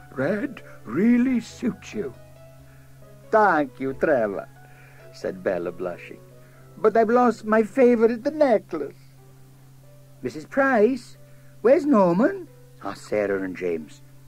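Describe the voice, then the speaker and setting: With music in the background, a man speaks at a very slow pace with long, frequent pauses. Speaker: narrator. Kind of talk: children's story reading.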